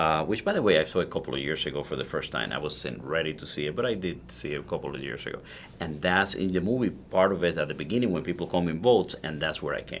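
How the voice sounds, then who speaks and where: A very fast man's voice, very deep and low, with vocal fry, lively intonation and hardly any pauses. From Cuba (Ciego de Avila, Camagüey). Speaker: cigar maker. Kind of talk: interview. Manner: passionate, animated.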